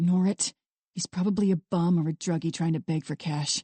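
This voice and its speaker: Using a put-on character voice, a woman talks at a fairly quick pace with a fairly low pitch and fairly even intonation. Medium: read story. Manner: scowling, contemptuous.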